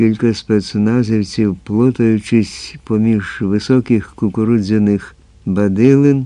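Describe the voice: Plain reading aloud with fairly even intonation throughout.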